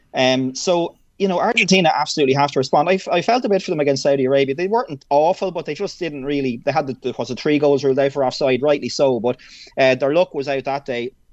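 A man with an Irish accent, fairly high pitch, ordinary pitch variation and a very fast pace. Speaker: sports broadcaster. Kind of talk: radio interview.

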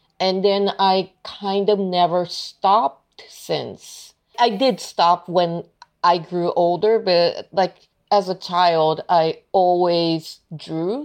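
Her Japanese accent is clear as this woman speaks at a very slow pace. Her voice sits at medium pitch with fairly even intonation. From Tokyo, Japan. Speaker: illustrator. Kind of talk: casual interview.

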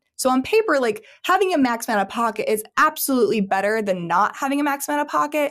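In an American accent, a woman talks at a very fast pace and a high pitch with very wide pitch swings, in a very clean recording with a silent background. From Missouri, US Midwest. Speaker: Medicare insurance executive and trainer. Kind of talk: casual interview.

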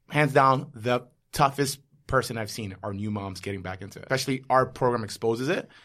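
A man with an American accent talks at a fairly quick pace in a medium pitch and a bright, sharp tone, with ordinary pitch variation and big swings in loudness, on a very clean recording with a silent background. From New York. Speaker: podcast host and fitness studio owner. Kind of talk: casual chat; scripted narration.

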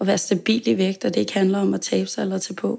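Dark and mellow in tone, a woman speaks at medium pitch. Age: 20s. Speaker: pastry chef sharing eating disorder experience. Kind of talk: interview. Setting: home kitchen. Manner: hesitant, many fillers.

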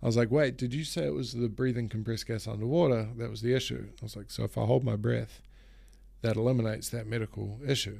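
Here a man speaks with a New Zealand accent. His pace is very fast. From New Zealand, Auckland. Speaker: pro wakeboarder and keynote speaker. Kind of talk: casual interview. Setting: face to face.

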